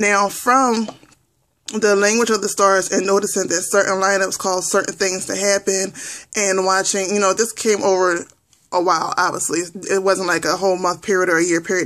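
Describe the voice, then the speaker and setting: Her pitch at a medium level, this woman keeps her intonation fairly even. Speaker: spiritual teacher vlogger. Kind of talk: tutorial. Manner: fast; casual, with fillers and restarts.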